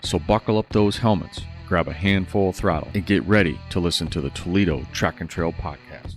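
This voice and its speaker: Music plays in the background as a man talks in a very deep, low pitch. He moves at a fairly quick pace with ordinary pitch variation and hardly any pauses. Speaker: podcast host. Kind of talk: podcast intro read.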